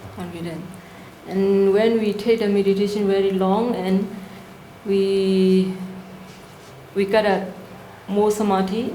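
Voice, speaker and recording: A woman's medium-pitched, monotone voice with flat intonation and long, frequent pauses, amid audible room echo and noticeable background noise. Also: fairly slow pace. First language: not English. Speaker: workshop presenter on Buddhist practice. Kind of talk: Q&A answer at a workshop. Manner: halting.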